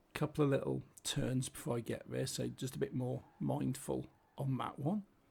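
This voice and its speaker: A man with a British accent is speaking. His pace is moderate. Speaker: gaming commentator. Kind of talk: gameplay commentary. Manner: casual, chatty.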